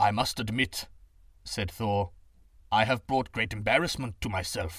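This is a natural reading voice. Pitch variation is ordinary.

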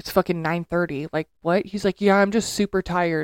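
Recorded very cleanly against a silent background, with a dry, close sound and no echo, a woman talks at a fairly quick pace in an animated tone with ordinary pitch variation. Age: 20s. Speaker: podcast co-host. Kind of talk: casual chat. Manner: animated, frequent laughter.

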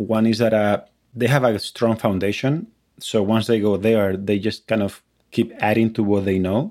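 Over a very clean recording with a silent background, a man with a Spanish accent speaks at a moderate pace in a fairly low pitch with fairly even intonation. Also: very even loudness. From Spain. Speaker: Spanish lecturer and doctoral student. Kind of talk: casual interview conversation. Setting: home basement recording during pandemic. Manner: passionate, encouraging.

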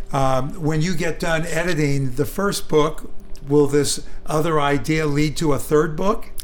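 A man with an American accent speaks at a fairly slow pace in a fairly high pitch. His intonation is fairly even, his loudness very even, and background noise is noticeable. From Northern California, East Bay. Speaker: radio host, book reviewer. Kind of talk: interview. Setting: radio studio. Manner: halting, many fillers.

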